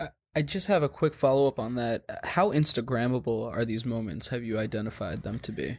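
With lively intonation and a medium pitch, a man talks at a fairly quick pace in an ordinary speaking voice. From New York. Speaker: podcast host. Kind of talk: podcast interview.

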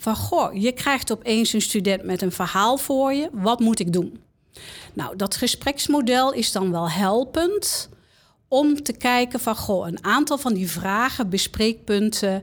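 A woman speaks very slowly with lively intonation and a fairly high pitch. The recording is very clean, with a silent background. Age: 60s. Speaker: confidential counsellor at a university of applied sciences. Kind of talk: interview.

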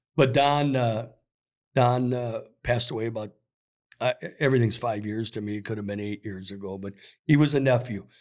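Here a man with an American accent and medium pitch talks at a fairly quick pace, leaving long, frequent pauses. His loudness swings widely, in a very clean recording with a silent background. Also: ordinary pitch variation. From Minnesota, US Upper Midwest. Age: 60s. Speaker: sporting goods store worker and youth hockey coach. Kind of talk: casual chat.

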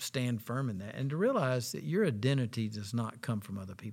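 A man speaks in a normal speaking voice at medium pitch. His pace is fairly quick, with ordinary pitch variation. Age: 60s. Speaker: associate pastor. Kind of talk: interview conversation.

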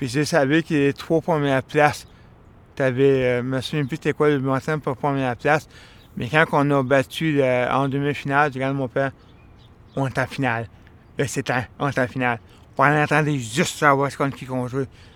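In a very clean recording with a silent background, a man at a fairly high pitch talks at a moderate pace with fairly even intonation and long, frequent pauses. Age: 40s. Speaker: interviewee. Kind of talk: personal storytelling. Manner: halting.

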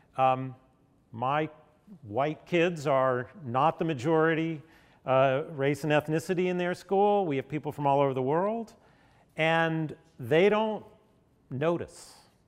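Speaking fairly slowly with an American accent, a man with a fairly high voice leaves long, frequent pauses, his pitch varying in an ordinary way against a quiet background. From Nashville, Tennessee (US South). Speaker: health policy expert. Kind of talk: lecture.

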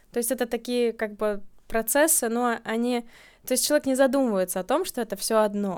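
A woman's ordinary speaking voice at a fairly high pitch, with ordinary pitch variation and a fairly quick pace, on a very clean recording with a silent background. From Latvia, Riga. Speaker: birth-date numerology consultant. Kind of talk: casual interview.

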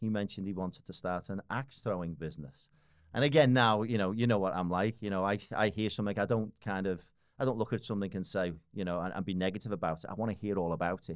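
With a Liverpool accent, the speaker goes at a very fast pace. Pitch varies in an ordinary way, and the recording is very clean with a silent background. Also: man, fairly low pitch for a man. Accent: Scouse (Liverpool). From Liverpool, northern England. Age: 40s. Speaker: business owner and fitness enthusiast. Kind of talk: casual chat. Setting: studio.

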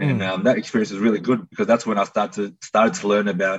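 Talking at a very fast pace, a man with a fairly low pitch speaks in an Australian accent. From Melbourne, Australia. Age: 30s. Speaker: tradesman. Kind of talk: interview.

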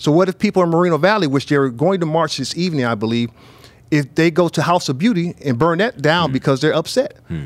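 An unremarkable speaking voice from a man with an American accent, fairly high in pitch and lively in intonation. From US Midwest. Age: 50s. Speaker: bishop and church leader. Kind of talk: casual panel discussion.

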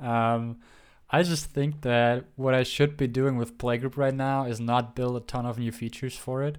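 On a very clean recording with a silent background, a man with a non-native accent speaks at a moderate pace in a medium pitch with flat, monotone intonation. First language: not English. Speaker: podcast co-host and app developer. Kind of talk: casual chat. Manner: laughs often.

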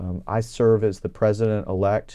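A man with a Texan accent and a fairly low pitch speaks in a dark, mellow tone. His intonation is monotone and flat, and the background is quiet. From Texas, Houston area (Kingwood). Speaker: state legislator and physician. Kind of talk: interview.

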